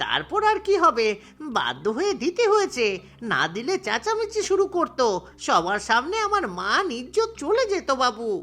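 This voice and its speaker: A man speaks in a cartoonish character voice, pitched extremely high for a man, at a moderate pace with very wide swings in pitch. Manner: pleading, worried.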